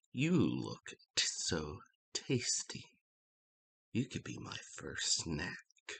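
A man speaks in a put-on character voice at a very slow pace, with long, frequent pauses. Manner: menacing, hungry, taunting.

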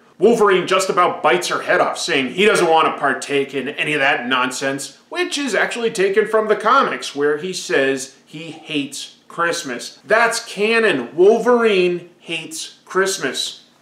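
Audible room echo surrounds a man talking at a fairly slow pace. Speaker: pop culture reviewer. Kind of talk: commentary. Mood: playful, sarcastic.

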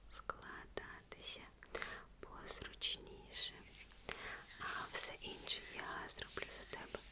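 Whispering in a gentle tone, the speaker goes at a very slow pace with long, frequent pauses. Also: woman. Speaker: ASMR content creator. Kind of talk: ASMR roleplay, close-up personal attention. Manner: soft, whispered, gentle. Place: home room.

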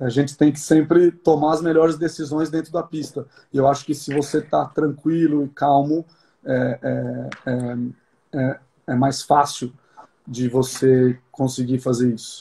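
In a dark, mellow tone, a man with a fairly high pitch speaks at a fairly slow pace, somewhat breathy and with fairly even intonation. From Brazil. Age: 30s. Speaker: show jumping rider; interviewee. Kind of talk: interview. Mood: calm, reflective. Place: home room. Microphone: phone near.

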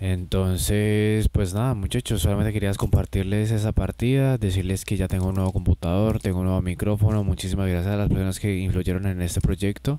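A man's plain, everyday voice, fairly low in pitch, at a fairly quick pace with hardly any pauses and fairly even intonation, dry with no echo over light background noise. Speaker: gaming streamer. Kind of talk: casual chat to viewers. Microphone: new microphone, level seems low; studio mic.

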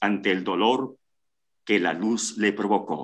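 The speech moves at a very slow pace. The background is quiet. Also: man. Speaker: story narrator. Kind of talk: dramatic suspense narration, reading a short story aloud. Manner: slow, hushed and tense, building suspense. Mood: suspenseful, dramatic. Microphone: video call.

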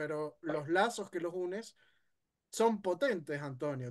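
This man's voice sits high in pitch for a man. He talks at a moderate pace against a quiet background. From Venezuela. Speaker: history content creator; guest. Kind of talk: casual discussion. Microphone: video call.

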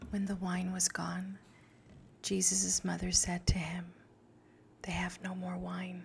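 A soft-spoken woman with a gentle tone, fairly slow pace and light background noise. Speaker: ASMR creator praying the rosary. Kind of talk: rosary prayer and scripture reading, ASMR. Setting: close microphone, studio-like. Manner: soft-spoken, gentle. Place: home room. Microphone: studio mic.

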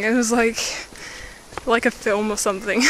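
The recording has noticeable background noise but a dry sound with no echo. A woman is speaking. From England. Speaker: vlogger. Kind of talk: casual talk to camera. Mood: amused storytelling. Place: street. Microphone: phone near.

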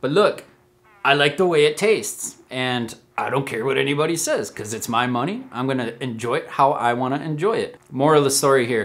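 Fairly quick speech from a man, medium in pitch, fairly bright in tone and lively in intonation

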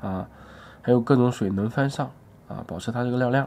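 A dark, mellow tone carries this man's speech. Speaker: health vlogger. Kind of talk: monologue video sharing experience. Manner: conversational, explanatory. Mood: calm, reassuring. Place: home room. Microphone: phone near.

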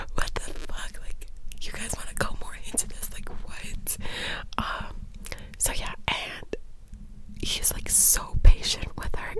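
Whispering and soft-spoken, a woman talks at a fairly slow pace with long, frequent pauses, the sound dry with no echo and noticeable background noise behind her. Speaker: vlogger. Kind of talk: casual vlog chat, movie recap. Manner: soft whisper close to mic. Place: home room. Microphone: studio mic.

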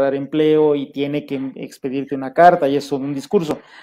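Speaking at a moderate pace, a man has a fairly high pitch, a dark, mellow tone and fairly even intonation. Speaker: language school director and show host; show host. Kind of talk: interview. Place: home room. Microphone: video call.

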